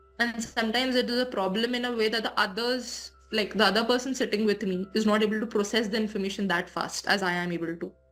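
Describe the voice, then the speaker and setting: With music in the background, the speech runs at a very fast pace with hardly any pauses and fairly even intonation. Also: woman, fairly high pitch for a woman. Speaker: YouTuber and English tutor. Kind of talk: interview.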